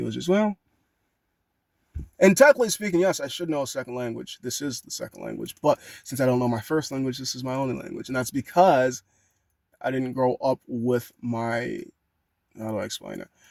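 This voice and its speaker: Speaking at a fairly quick pace, a man with an American accent swings widely in loudness. The sound is dry and close with no echo. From United States. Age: 20s. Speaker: vlogger. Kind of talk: personal monologue. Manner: fast.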